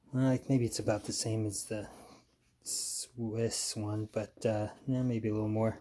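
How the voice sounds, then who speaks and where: The voice is quiet, dark and mellow, speaking in a flat monotone at a fairly slow pace. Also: man. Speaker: military surplus collector. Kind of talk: casual talk to camera. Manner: low, quiet.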